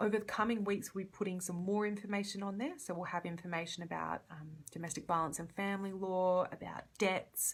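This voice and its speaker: With an Australian accent, a woman of medium pitch speaks at a fairly quick pace in a somewhat breathy voice. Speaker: community legal worker. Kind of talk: live Q&A. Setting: Facebook live stream. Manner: fast.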